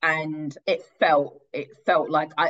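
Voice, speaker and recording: A woman with a London accent speaks in a very deep, low pitch. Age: 30s. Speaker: stand-up comedian and writer. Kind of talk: podcast interview.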